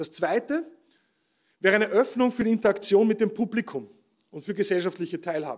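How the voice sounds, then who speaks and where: A man speaks at a fairly quick pace in a high voice. His intonation is lively, and the background is quiet. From Austria. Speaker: professor giving keynote speech. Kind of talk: ceremonial keynote speech. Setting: stage with audience at award ceremony. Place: stage. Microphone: podium.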